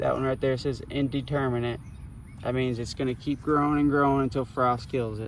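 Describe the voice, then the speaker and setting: Mumbling in a flat monotone, a man talks fairly quickly at a medium pitch. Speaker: gardening vlogger. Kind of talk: garden tour tutorial. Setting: outdoors in garden. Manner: casual, filler-heavy.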